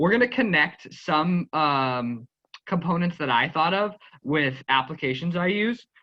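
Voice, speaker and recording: Using lively intonation, a man with an American accent talks in a fairly high pitch. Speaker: teacher leading a training session. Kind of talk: online workshop instruction. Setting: video call. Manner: fast.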